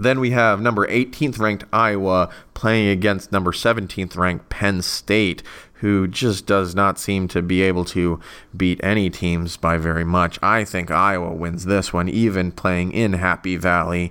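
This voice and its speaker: A man at a very deep, low pitch with a bright, sharp tone, moderate pace, fairly even intonation and very even loudness. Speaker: college football podcast host. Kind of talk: solo podcast monologue.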